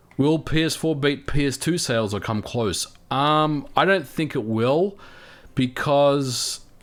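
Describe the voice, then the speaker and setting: A man with an Australian accent talks at a fairly slow pace in a fairly high pitch, his pitch varying in an ordinary way, on a very clean recording with a silent background. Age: 40s. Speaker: gaming youtuber. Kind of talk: livestream chat reading viewer comments. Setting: livestream. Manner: casual, halting with repetitions.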